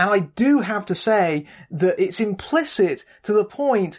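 A woman with a British accent speaks at a fairly slow pace in a medium pitch. Her pitch swings very widely, and the background is quiet. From Britain. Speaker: film critic. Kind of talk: scripted narration. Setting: home.

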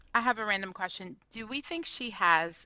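In a plain, everyday voice, a woman speaks at a fairly slow pace with lively intonation. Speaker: podcast host. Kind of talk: casual chat.

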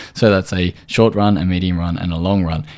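In an Australian accent, a man speaks with a very deep, low pitch. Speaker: podcast host, nutritional therapist. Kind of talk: solo podcast tutorial.

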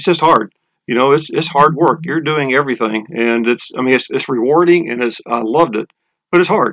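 This man has an American accent and a fairly high pitch. He talks at a fairly quick pace with ordinary pitch variation. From Texas, Houston. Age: 60s. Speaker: breathing method instructor, retired business owner. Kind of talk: interview. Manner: halting, with frequent repetitions.

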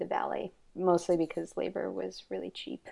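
Against a quiet background, a woman with an American accent speaks at a moderate pace in a fairly low pitch with a dark, mellow tone. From Texas. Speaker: fiber artist. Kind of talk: casual interview. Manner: halting, many fillers.

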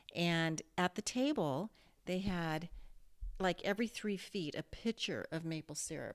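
A woman with an American accent and a normal speaking voice, fairly low in pitch, at a fairly slow pace, with ordinary pitch variation and a dry, close sound with no echo. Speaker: mother. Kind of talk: casual chat.

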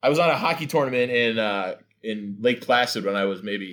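A man speaks in an ordinary speaking voice, fairly low in pitch with ordinary pitch variation, at a fairly quick pace. The recording is very clean, with a silent background. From New Jersey. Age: 40s. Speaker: comedian and radio host. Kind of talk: casual chat.

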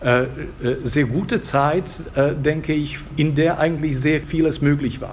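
Amid audible room echo and noticeable background noise, a man speaks with a fairly high pitch. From Slovakia, Bratislava. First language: Slovak (speaking German). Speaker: Germanist professor and literary translator. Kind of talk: casual interview. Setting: café. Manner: halting, many fillers and repetitions.

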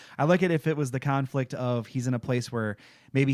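Fairly quick, fairly even speech from a man with a Midwestern American accent, on a very clean recording with a silent background. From Michigan. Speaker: podcast co-host. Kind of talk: casual chat.

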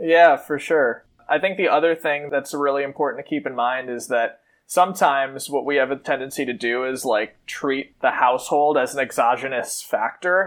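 In a very clean recording with a silent background, a man with an American accent and fairly high pitch talks at a moderate pace with ordinary pitch variation in a normal speaking voice. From US Midwest, Madison, Wisconsin. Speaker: MBA student and former charter school director. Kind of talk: casual interview. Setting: at home in his room.

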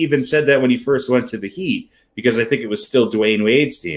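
A man's voice carries vocal fry as his pitch swings very widely. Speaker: sports podcast co-host. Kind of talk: casual sports banter. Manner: joking, bantering.

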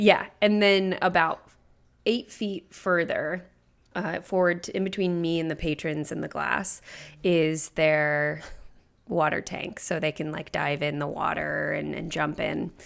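In a very clean recording with a silent background, a woman with an American accent speaks at a fairly slow pace in a plain, everyday voice, fairly low in pitch, with fairly even intonation. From Nebraska, US Midwest. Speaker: podcast producer. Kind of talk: casual chat.

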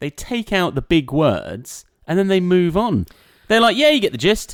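In an English accent, a man speaks in a dry, close sound with no echo on a very clean recording with a silent background. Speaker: podcast co-host, content creator. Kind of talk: casual chat. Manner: loud.

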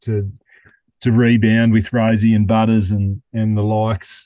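The voice has a dark, mellow tone and an Australian accent, heard against a quiet background. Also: man. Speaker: podcast host. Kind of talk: casual chat.

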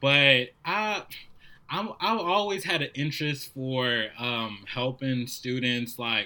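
Here a man with a New Orleans accent talks at a fairly slow pace. His medium-pitched voice has a bright, sharp tone. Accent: New Orleans American. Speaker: service volunteer, school mentor. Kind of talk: casual interview.

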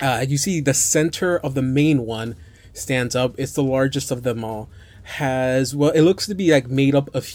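This is an unforced reading voice. It has ordinary pitch variation.

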